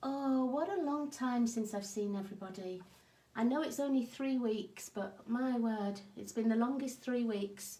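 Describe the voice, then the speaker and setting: Ordinary pitch variation marks the woman's speech, heard over noticeable background noise. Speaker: card-making crafter. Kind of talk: live craft demo chat. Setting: livestream from home craft desk.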